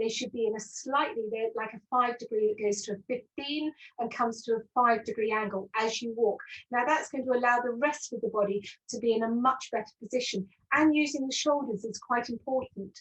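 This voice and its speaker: In an unremarkable speaking voice, a woman talks at a fairly quick pace, fairly high in pitch with fairly even intonation. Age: 60s. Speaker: postural alignment specialist. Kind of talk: interview webinar.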